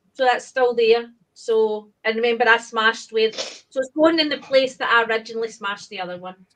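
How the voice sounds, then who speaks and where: Speaking at a moderate pace, a woman with a high pitch shows ordinary pitch variation and big swings in loudness. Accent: Glaswegian. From Scotland, Glasgow area. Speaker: aquarium hobbyist. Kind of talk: casual chat.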